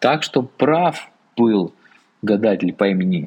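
Very slowly, a man speaks with lively intonation. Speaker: podcast host, sinologist. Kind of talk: reading aloud with commentary. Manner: unusual voice for the episode.

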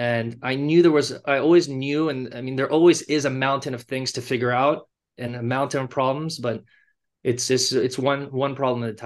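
The speaker has a Californian accent and a moderate pace. Intonation stays fairly even. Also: man, medium pitch for a man. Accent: Californian American. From Los Angeles, US. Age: 30s. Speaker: fashion brand founder. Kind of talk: interview. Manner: halting, many fillers.

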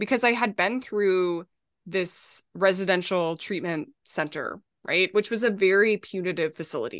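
A woman speaks at a moderate pace in a normal speaking voice, with medium pitch and ordinary pitch variation. The background is quiet. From Minnesota. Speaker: author and memoirist. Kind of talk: interview podcast conversation.

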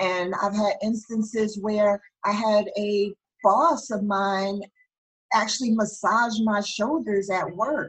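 Somewhat breathy and fairly high in pitch, a woman speaks at a very slow pace with fairly even intonation. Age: 40s. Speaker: criminal justice expert and workplace bullying advocate. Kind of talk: interview. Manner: halting.

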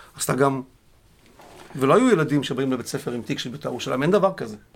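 A man's fairly high-pitched voice at a very fast pace, with lively intonation. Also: long, frequent pauses. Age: 50s. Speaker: football club security officer. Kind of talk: casual interview. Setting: studio.

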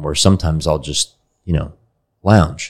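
A man with an American accent speaks at a fairly quick pace. The recording is very clean, with a silent background. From Texas, Dallas. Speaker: company founder and CEO. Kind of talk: interview.

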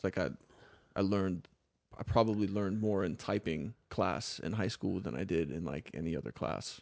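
A man with an American accent speaks at a moderate pace in a very deep, low voice. There is vocal fry, and his pitch varies in an ordinary way. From US South, South Florida (Palm Beach County). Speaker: parkour coach and former poet. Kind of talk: casual interview chat. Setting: studio.

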